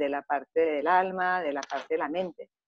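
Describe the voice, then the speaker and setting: At a moderate pace the woman uses an ordinary speaking voice, fairly low in pitch, her intonation fairly even. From Germany and Greece, Greek parents. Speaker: macrobiotic chef and cooking teacher. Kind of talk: interview.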